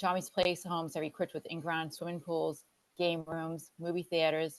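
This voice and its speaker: At a moderate pace, a woman with a fairly low pitch speaks in a dry, close sound with no echo. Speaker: nonprofit representative. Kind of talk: presentation. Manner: soft-spoken. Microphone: too quiet.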